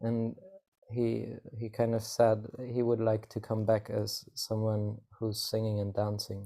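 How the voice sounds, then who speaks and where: Soft-spoken and dark, mellow in tone, a man talks at a fairly slow pace and a medium pitch in a flat monotone on a very clean recording with a silent background. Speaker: musician. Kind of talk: casual chat.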